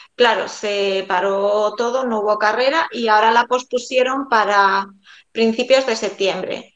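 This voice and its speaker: In a Galician accent, a woman speaks at a fairly slow pace with a fairly high pitch and fairly even intonation. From Galicia, Spain (A Coruña). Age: 40s. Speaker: amateur runner. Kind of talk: casual interview.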